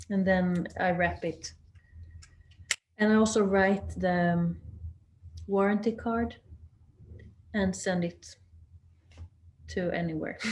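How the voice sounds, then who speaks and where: At a very slow pace, a woman speaks with a Swedish accent, leaving long, frequent pauses. Her medium-pitched voice is somewhat breathy, with monotone, flat intonation. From southern Sweden. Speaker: axe maker. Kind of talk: webinar talk. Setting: video call. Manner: halting.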